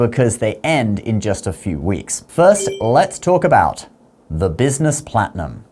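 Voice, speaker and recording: Speaking at a moderate pace in a British accent, a man with a medium pitch makes very wide pitch swings. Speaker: personal finance youtuber. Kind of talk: online video monologue.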